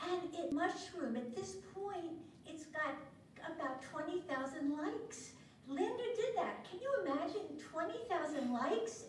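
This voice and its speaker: A woman speaks at a fairly slow pace in an extremely high pitch with very wide pitch swings, and room echo is audible. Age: 70s. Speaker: social worker. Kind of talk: award introduction speech. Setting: conference stage with audience.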